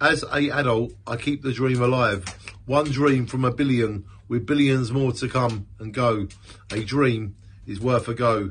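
Somewhat breathy, a man talks at a fairly slow pace with ordinary pitch variation. There is light background noise. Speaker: amateur poet. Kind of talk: spoken-word poetry reading. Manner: earnest, rhythmic, with repeated refrains. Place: home room. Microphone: phone near.

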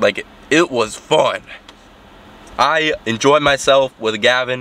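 The recording is dry and free of echo. It features a man's voice. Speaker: fitness vlogger. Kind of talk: casual vlog chat. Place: car. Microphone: phone near.

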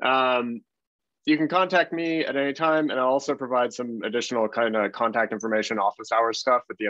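A man with a Canadian accent speaks at a fairly quick pace and medium pitch with ordinary pitch variation and a bright, sharp tone. The sound is dry with no echo, over a quiet background. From Canada (Toronto); Canada. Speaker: design researcher and consultant; presenter. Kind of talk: webinar talk. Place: home room. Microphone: video call.

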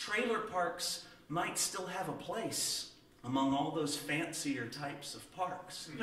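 A man talks at a very slow pace in a high pitch with ordinary pitch variation. Audible room echo surrounds his voice. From Southern United States. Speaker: storyteller. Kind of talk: tall-tale storytelling to an audience. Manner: folksy, humorous, conversational. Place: stage.

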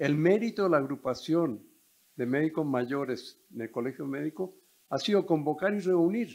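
The man takes a fairly slow pace. Ordinary pitch variation runs through his speech. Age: old. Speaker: retired doctor, audience member; audience member. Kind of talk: audience comment. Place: hall. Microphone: handheld.

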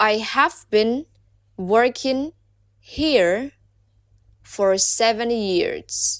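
Speech comes at a very slow pace, broken by long, frequent pauses. The pitch varies in an ordinary way, with a Burmese accent. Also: woman, fairly high pitch for a woman. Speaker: English teacher. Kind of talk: language lesson drill. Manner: slow, repeated phrases.

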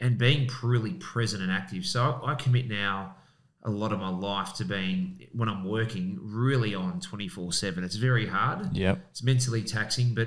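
Speech at a moderate pace comes over a quiet background. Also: man. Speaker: podcast guest. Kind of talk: interview answer. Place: studio. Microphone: studio mic.

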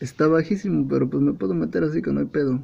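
The man has a Mexican accent. His tone is dark and mellow. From Mexico. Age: 20s. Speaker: computer assembler. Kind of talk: casual car repair tutorial. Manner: casual, joking. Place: car.

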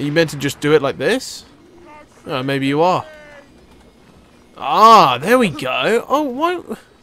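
A man at a fairly high pitch with very wide pitch swings, a fairly slow pace and long, frequent pauses, amid noticeable background noise. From Scotland. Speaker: gaming video creator. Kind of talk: let's play gaming commentary.

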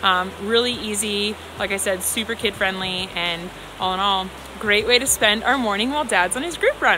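A woman talks at a moderate pace with ordinary pitch variation. The sound is dry with no echo, and music plays in the background. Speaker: parent vlogger. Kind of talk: casual vlog chat. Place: forest. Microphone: phone near.

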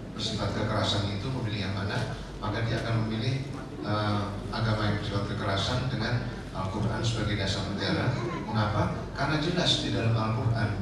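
Amid loud background noise and audible room echo, a man speaks at a very fast pace. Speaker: official presenting to influencers. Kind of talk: lecture. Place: hall.

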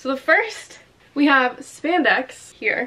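A woman speaks in a raised, projected voice. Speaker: fashion vlogger. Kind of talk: casual vlog chat. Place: home room. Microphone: camera far.

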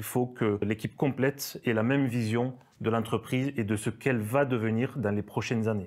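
A man at medium pitch, fairly quick in pace and fairly even in intonation, over a quiet background. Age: 30s. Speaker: business owner. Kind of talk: interview. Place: studio. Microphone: lapel.

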